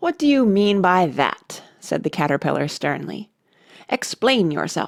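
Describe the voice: Plain reading aloud comes through with only quiet behind it.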